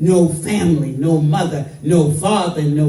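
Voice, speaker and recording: A woman's very deep, low voice with ordinary pitch variation, amid noticeable background noise. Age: 80s+. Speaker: activist. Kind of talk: public speech. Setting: royal palace event. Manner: impassioned.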